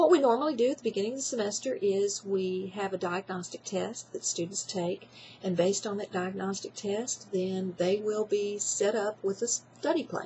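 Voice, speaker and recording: This woman's voice is somewhat breathy, and she speaks with hardly any pauses. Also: medium pitch for a woman, ordinary pitch variation, moderate pace. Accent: Tennessee. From Tennessee, Jackson. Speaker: college writing teacher. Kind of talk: testimonial talk. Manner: hesitant with fillers.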